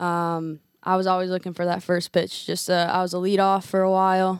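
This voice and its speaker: The recording is very clean, with a silent background. A woman speaks at a medium pitch in a monotone, flat intonation. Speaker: former college softball player. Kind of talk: interview. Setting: studio.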